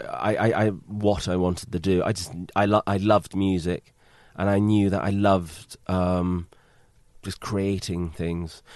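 Fairly slow speech in a British accent. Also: man. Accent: British, remarked as cool. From Britain. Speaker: film composer. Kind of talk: casual interview. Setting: composer's studio.

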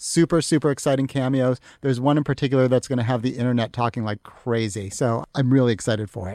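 On a very clean recording with a silent background, a man with an American accent talks at a very fast pace, at medium pitch and with ordinary pitch variation, the sound dry and close with no echo. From Massachusetts. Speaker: entertainment editor. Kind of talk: casual chat. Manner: animated.

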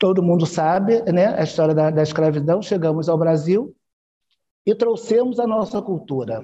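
At a moderate pace, the speaker leaves long, frequent pauses. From Brazil, Rio de Janeiro. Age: 60s. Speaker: Afro-Brazilian religious leader. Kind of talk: interview. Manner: halting.

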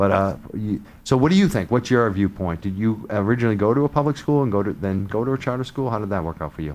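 Fast and lively in intonation, a man talks at a fairly low pitch. His tone is slightly mellow.

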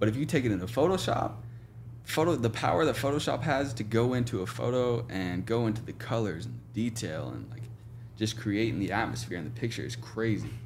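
A man with an American accent speaks at a fairly quick pace. Audible room echo surrounds his voice. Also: medium pitch for a man, ordinary pitch variation. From Oklahoma, small town near Tulsa. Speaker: photographer. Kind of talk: casual interview chat.

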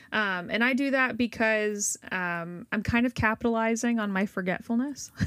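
A woman with an ordinary speaking voice and a fairly high pitch, moderate pace, ordinary pitch variation and hardly any pauses, on a very clean recording with a silent background. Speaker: podcast host. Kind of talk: casual chat.

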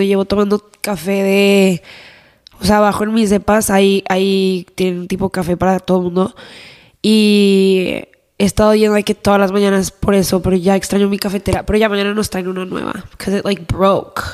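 Her voice sits at a medium pitch for a woman, delivered with flat, monotone intonation. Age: 20s. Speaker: podcast co-host. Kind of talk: casual chat.

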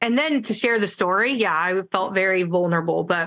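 Fairly quick speech from a woman at medium pitch. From San Francisco Bay Area, US. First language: Spanish. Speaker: coach and speaker. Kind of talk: casual interview chat.

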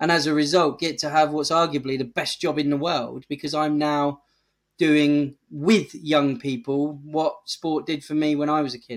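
In an English accent, a man speaks at a moderate pace with a fairly high pitch and fairly even intonation. The recording is very clean, with a silent background. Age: 40s. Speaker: charity chief executive. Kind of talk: interview.

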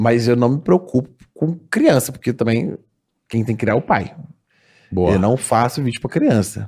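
At a moderate pace, a man speaks at a medium pitch in a somewhat breathy voice, leaving long, frequent pauses. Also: ordinary pitch variation. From Minas Gerais, Brazil (Sete Lagoas). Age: 20s. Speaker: comedy video creator. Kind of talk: casual chat.

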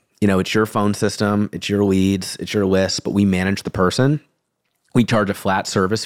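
In a very clean recording with a silent background and a dry, close sound with no echo, a man with a fairly low pitch and an unremarkable speaking voice talks at a fairly quick pace. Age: 30s. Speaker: insurance agency owner. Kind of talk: interview.

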